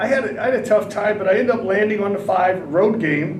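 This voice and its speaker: A loud man with a high pitch talks at a moderate pace with ordinary pitch variation. Audible room echo and noticeable background noise fill the recording. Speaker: horse racing handicapper. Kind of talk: podcast discussion, race picks. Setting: livestream from track building.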